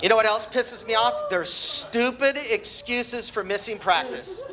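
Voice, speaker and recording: Amid noticeable background noise, a raised, projected voice speaks at a moderate pace. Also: man. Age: 60s. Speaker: amateur comedian, wrestling coach. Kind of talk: stand-up comedy set.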